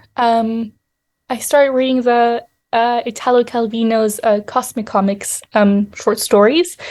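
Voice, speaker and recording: In a very clean recording with a silent background, a woman with a French accent speaks fairly slowly at a fairly high pitch, with a dark, mellow tone and fairly even intonation. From Europe. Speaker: novelist. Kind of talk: interview. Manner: halting, many fillers.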